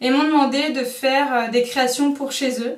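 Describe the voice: A woman speaks at a moderate pace in a high voice. Her intonation stays fairly even.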